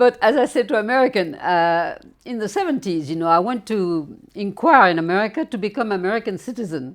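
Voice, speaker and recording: A woman with a French accent speaks at a fairly quick pace with lively intonation on a very clean recording with a silent background. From Normandy, France. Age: 80s+. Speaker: retired tour guide. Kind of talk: interview. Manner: halting.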